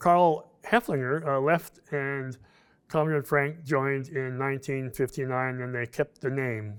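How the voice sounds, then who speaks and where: A fairly high-pitched male voice, fairly even in intonation and fairly slow, on a very clean recording with a silent background. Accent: Alaskan. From Alaska, Fairbanks. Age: 70s. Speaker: retired construction worker, pipeline-era memoir. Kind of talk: reading aloud his written memoir.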